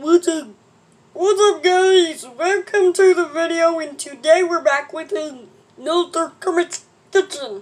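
This put-on character voice is pitched extremely high. It moves at a fairly slow pace.

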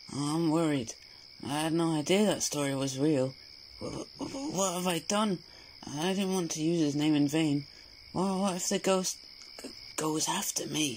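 A man puts on a character voice with a fairly high pitch, including the pace, which is fairly slow. Long, frequent pauses break it up, with clear background noise behind. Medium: audio drama. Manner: anxious, fearful.

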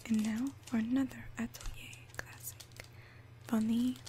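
Over noticeable background noise, a soft-spoken woman whispers at a fairly slow pace. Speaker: ASMR creator. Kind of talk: ASMR perfume review, soft-spoken to camera. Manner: whispered, soft-spoken. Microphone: studio mic.

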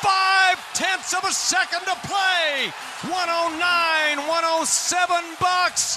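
A man with an extremely high pitch uses a raised, projected voice at a very slow pace. Loud background noise fills the dry sound, which has no echo. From Texas. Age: 60s. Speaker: radio play-by-play broadcaster. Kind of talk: live basketball radio play-by-play. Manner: excited, dramatic. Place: booth.

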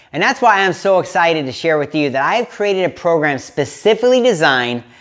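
A man at a fairly quick pace, his pitch swinging very widely, in a quiet background. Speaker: fitness coach. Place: home room. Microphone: lapel.

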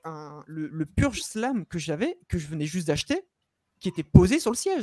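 In a dry sound with no echo and a quiet background, a man with a high-pitched voice speaks at a moderate pace in an animated tone with lively intonation. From northern France, Lille; France. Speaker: vape youtuber. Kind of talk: casual chat. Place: home room. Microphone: studio mic.

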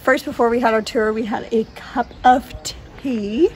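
A woman talks fairly slowly, with a little noise in the background. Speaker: travel vlogger. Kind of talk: casual vlog chat. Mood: cheerful, laughing. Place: open country. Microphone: phone near.

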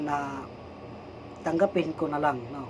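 This man's pace is fairly slow. Noticeable background noise runs behind him. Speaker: vlogger, church worker. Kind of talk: personal vlog monologue. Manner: halting, with fillers.

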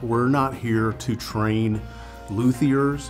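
Clear music plays in the background as a man talks at a fairly low pitch with ordinary pitch variation. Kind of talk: interview answer. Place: workshop. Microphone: lapel.

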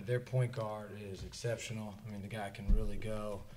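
Fairly quick speech from a man over light background noise. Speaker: college basketball head coach. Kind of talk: post-game press conference. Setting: press conference. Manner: repetitive, filler-heavy, with frequent restarts. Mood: pleased after a win. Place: meeting room. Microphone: podium.

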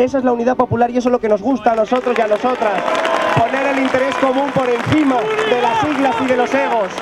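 Over crowd noise in the background, the voice rushes at a very fast pace while its loudness stays very even. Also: man. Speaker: political candidate addressing a crowd. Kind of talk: political rally speech. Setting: outdoors, public square, crowd. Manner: impassioned, emphatic, improvised. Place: street. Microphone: handheld.

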